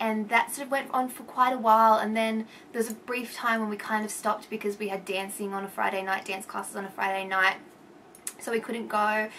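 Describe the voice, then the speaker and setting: This woman talks at a fairly quick clip in a fairly high voice with an Australian accent. Her intonation stays flat and monotone. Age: 20s. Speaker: vlogger. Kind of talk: casual vlog. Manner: rambling, hesitant.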